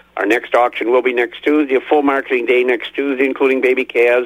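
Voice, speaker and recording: This speaker has an unremarkable speaking voice and an American accent and talks at a fairly quick pace. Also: man. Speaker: livestock auction market reporter. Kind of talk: market report. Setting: phone call.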